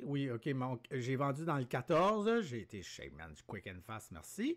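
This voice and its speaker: On a very clean recording with a silent background, a man talks at medium pitch with a Quebec accent. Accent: Québécois French. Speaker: day trader. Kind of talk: live trading commentary. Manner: animated.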